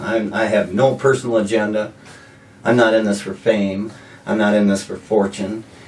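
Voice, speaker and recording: A man with a medium-pitched voice speaks against noticeable background noise. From South Dakota, Sioux Falls. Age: 60s. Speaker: mayoral candidate. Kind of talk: interview. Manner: halting, repeats words.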